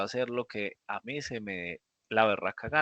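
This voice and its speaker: In a dry, close sound with no echo and a quiet background, a man speaks at a moderate pace with lively intonation and a bright, sharp tone. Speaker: programming teacher. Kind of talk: lecture. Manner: animated.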